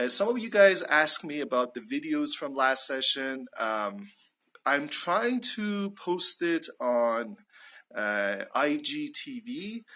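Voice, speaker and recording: The delivery is very slow, with very wide swings in pitch. The tone is bright and sharp against a quiet background. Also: man, fairly high pitch for a man. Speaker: English teacher. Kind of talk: live online lesson. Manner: slow, deliberate.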